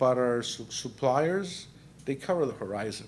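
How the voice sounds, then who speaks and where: Speaking with a Mexican accent, the man keeps a moderate pace. The room gives off an audible echo. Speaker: panel moderator, corporate credit risk director. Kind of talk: panel discussion moderation. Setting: conference breakout session with audience.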